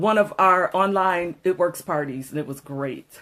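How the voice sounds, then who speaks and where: The tone is animated. The pace is moderate. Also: woman. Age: 20s. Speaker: vlogger and direct sales seller. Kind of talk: casual livestream chat. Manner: soft, holding volume down for neighbors; animated, chatty.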